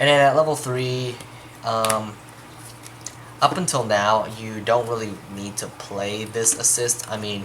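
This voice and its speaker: A man's medium-pitched voice, fairly slow and fairly even in intonation, with long, frequent pauses and noticeable background noise. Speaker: card game deck reviewer. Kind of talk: casual deck tech explanation to camera.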